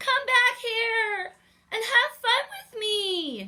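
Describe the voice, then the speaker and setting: Squeaky and extremely high in pitch, a woman performs a put-on character voice at a very slow pace. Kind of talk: bedtime story. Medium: read story.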